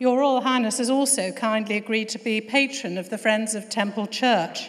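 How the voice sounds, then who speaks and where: A woman talks at a moderate pace with fairly even intonation. The background is quiet. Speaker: host of a formal event. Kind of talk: formal welcome speech. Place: hall. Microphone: podium.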